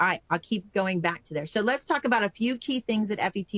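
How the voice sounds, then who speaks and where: A plain, everyday voice from a woman, fairly quick and with ordinary pitch variation, in a dry, close sound with no echo. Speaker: conference organizer. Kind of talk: training webinar.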